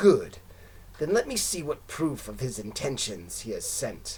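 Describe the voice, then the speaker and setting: A man's put-on character voice with big swings in loudness, over clear background noise. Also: moderate pace. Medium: read story.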